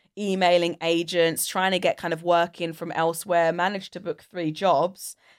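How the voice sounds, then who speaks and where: A woman with fairly low pitch and monotone, flat intonation, on a very clean recording with a silent background. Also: dry, close sound with no echo. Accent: British. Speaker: voiceover artist and radio presenter. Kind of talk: casual chat. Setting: podcast studio.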